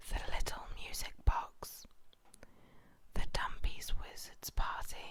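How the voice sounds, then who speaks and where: Someone whispers at a very slow pace. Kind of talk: whispered bedtime story reading. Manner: whispered, soft-spoken.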